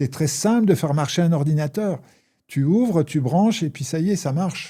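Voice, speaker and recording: A man with a fairly high pitch, ordinary pitch variation and a dark, mellow tone is heard in a very clean recording with a silent background. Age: 60s. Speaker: former addict sharing recovery experience. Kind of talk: interview. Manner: hesitant, many fillers.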